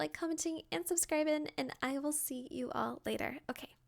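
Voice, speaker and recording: There is noticeable background noise as a woman talks at a moderate pace. Her tone is animated. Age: 20s. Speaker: video game content creator. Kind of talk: casual chat.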